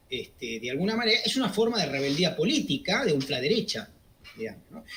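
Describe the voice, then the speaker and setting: Very wide pitch swings mark this man's high voice. He keeps a moderate pace. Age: 60s. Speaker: economist, political commentator. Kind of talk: interview. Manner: hesitant, many fillers.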